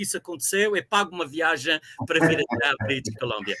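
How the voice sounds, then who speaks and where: With a bright, sharp tone and very wide pitch swings, a man uses a raised, projected voice in a dry, close sound with no echo. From Azores, Ribeira Grande (São Miguel). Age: 60s. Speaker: university professor. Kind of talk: interview. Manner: hesitant with fillers.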